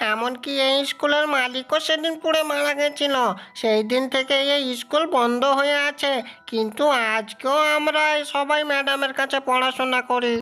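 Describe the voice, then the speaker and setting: A high-pitched, cartoonish character voice talks at a moderate pace. Light background noise sits underneath. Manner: scolding, authoritative.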